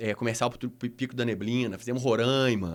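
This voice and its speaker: At medium pitch, a man talks at a fairly quick pace. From Minas Gerais, Brazil. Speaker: adventure tourism executive. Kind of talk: podcast interview. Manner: halting, many false starts.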